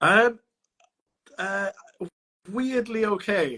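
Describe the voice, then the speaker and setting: A man with a Welsh accent. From Wales. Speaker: opera singer. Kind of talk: interview. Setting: live stream.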